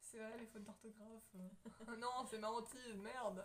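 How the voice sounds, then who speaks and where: The woman speaks at a very slow pace. Her fairly high voice has a monotone, flat intonation. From France. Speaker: YouTuber. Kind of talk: casual chat.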